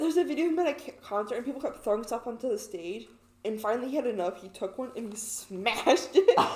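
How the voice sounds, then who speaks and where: Over noticeable background noise, a woman rattles along at a very fast pace in a fairly high pitch, her lively intonation paired with big swings in loudness. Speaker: podcast co-host. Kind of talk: casual chat.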